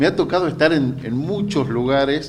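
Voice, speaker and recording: A man talks with lively intonation amid audible room echo. Noticeable background noise is present. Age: 50s. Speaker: journalist. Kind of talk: interview. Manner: hesitant, many fillers.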